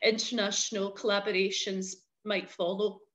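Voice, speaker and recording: Against a quiet background, a woman talks with a west of Scotland accent. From Scotland, Paisley. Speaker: arts consultant. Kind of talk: webinar presentation.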